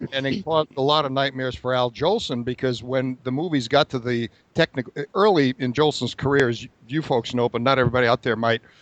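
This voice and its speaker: In an unremarkable speaking voice, a man talks fairly quickly at medium pitch with ordinary pitch variation, the sound dry and close with no echo. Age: 40s. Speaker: podcast host, film enthusiast. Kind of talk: casual chat.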